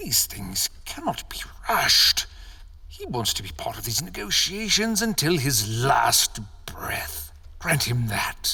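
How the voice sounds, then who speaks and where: Whispering in a put-on character voice, a man talks at a fairly slow pace. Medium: audio drama. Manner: blunt, curt.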